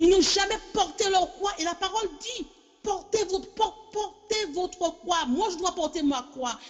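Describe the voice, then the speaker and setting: Over music in the background, a woman with an extremely high pitch talks at a fairly slow pace using lively intonation. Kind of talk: sermon. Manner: halting, repetitive; impassioned.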